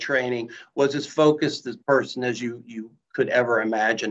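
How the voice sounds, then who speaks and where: Using a normal speaking voice with an American accent, a man talks at a moderate pace with ordinary pitch variation. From US Midwest, Columbus, Ohio. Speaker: company CEO. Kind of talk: casual interview.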